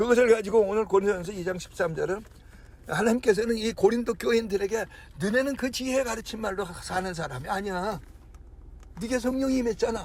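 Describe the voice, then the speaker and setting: The voice belongs to a man with a high pitch and ordinary pitch variation. He talks at a fairly quick pace. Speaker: pastor. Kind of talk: sermon. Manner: fast; stammering restarts.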